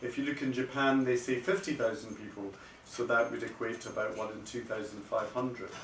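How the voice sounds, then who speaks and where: Over noticeable background noise and audible room echo, a man with a medium pitch speaks at a fairly quick pace with ordinary pitch variation. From Scotland. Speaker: paediatric kidney doctor. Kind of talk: lecture. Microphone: no microphone, speaking unamplified.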